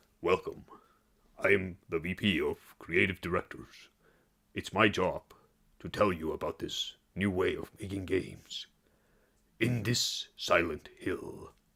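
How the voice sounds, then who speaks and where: A man's raspy, put-on character voice at a fairly slow pace, with long, frequent pauses. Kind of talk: formal, presentational.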